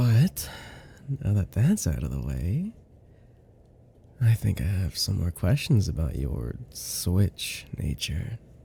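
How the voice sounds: A man uses a put-on character voice, low in pitch with vocal fry, a dark, mellow tone and big pitch swings. He talks slowly, with long, frequent pauses.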